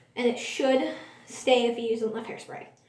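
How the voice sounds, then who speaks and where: A woman's high voice with audible room echo. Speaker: beginner beauty vlogger. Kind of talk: makeup tutorial.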